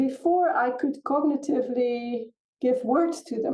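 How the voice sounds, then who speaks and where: The speaker is a woman with a high pitch. She talks at a fairly slow pace with ordinary pitch variation. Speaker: somatics and spirituality teacher. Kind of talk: casual chat.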